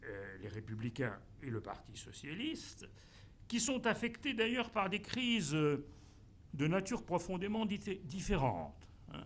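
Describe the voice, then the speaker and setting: A man's high-pitched voice with very wide pitch swings, a fairly slow pace, long and frequent pauses, and audible room echo. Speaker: professor. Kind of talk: conference talk. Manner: halting, many fillers.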